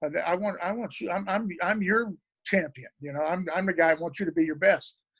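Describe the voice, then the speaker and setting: Speaking at a fairly quick pace with an Oklahoma accent, a man uses a high pitch with ordinary pitch variation. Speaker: record producer and drummer. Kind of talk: interview. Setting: video call.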